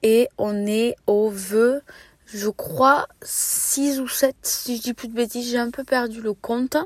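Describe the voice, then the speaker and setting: A high-pitched woman at a very slow pace, her intonation fairly even, in a dry, close sound with no echo. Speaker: book podcaster. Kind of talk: reading vlog, casual monologue.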